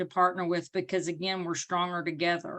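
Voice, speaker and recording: Bright and sharp in tone, a woman speaks at a fairly low pitch and a fairly quick pace with an Arkansas accent. The background is quiet. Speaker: parent advocate. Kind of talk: panel presentation.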